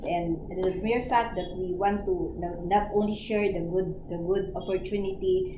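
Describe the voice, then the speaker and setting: At a fairly slow pace, a woman with a medium pitch speaks through noticeable background noise and audible room echo. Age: 60s. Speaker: network marketing mentor. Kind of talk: training presentation.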